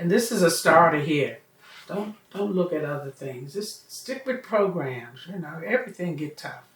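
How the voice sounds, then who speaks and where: There is noticeable background noise as a woman talks at a moderate pace in a fairly low pitch. Her loudness swings a lot and her pitch swings very widely. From Washington DC, Anacostia. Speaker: community elder. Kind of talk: oral history interview.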